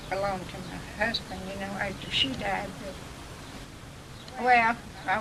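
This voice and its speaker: A woman with an American accent, medium-pitched and fairly slow, her intonation fairly even over noticeable background noise. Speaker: grandmother. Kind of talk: interview answer.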